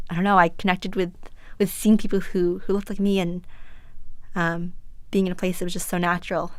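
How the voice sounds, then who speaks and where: The woman speaks in a monotone, flat manner at a medium pitch with an American accent. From United States. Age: young. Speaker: student. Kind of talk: interview answer. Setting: radio interview.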